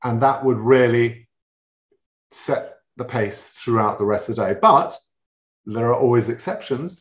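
A man with a London accent, somewhat breathy, at a fairly slow pace with long, frequent pauses. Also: medium pitch for a man, ordinary pitch variation. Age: 50s. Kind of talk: casual chat.

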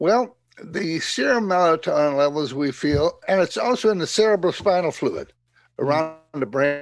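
Speaking at a moderate pace, a man with an American accent uses a high pitch and lively intonation. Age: 80s+. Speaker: cell biology professor. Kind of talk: interview. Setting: remote call.

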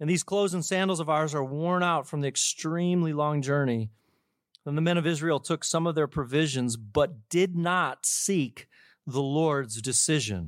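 A man speaks in a plain, everyday voice at a fairly high pitch, a moderate pace and ordinary pitch variation. The sound is dry and close with no echo, in a very clean recording with a silent background. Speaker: church pastor. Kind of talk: church welcome and scripture reading. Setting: church.

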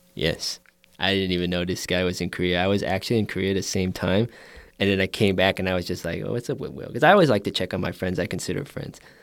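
At a very fast pace, a man with a very deep, low pitch and an American accent speaks with ordinary pitch variation on a very clean recording with a silent background. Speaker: podcast guest. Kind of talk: casual chat.

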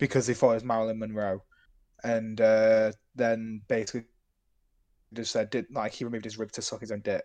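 A man speaks at a fairly quick pace with a British accent and medium pitch. His intonation is monotone and flat, and the background is quiet. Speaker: podcast co-host. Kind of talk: casual chat. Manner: low energy.

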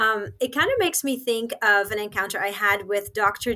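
Bright, sharp tone from a woman at medium pitch, with lively intonation and a moderate pace. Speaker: pro-life advocate. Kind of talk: podcast interview.

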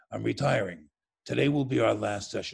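Putting on a character voice in a New York accent, a man talks at a fairly quick pace with a very deep, low pitch and very wide pitch swings.

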